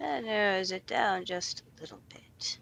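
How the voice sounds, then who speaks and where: A female-sounding voice does a put-on character at a medium pitch. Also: moderate pace. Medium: actual play. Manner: slow, dry.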